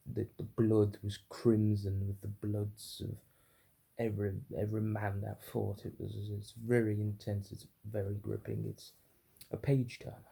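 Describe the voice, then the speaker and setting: Somewhat breathy and dark, mellow in tone, a man with a British accent speaks at a fairly low pitch in a monotone, flat intonation. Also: moderate pace. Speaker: book reviewer. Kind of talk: unscripted book review. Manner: stuttery, halting; unrehearsed, filler-heavy.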